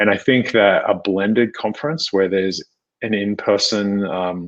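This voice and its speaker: A man speaks at a fairly slow pace with an American accent. His pitch is fairly low, over a quiet background. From Australia (Sydney). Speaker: tech company executive. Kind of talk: interview.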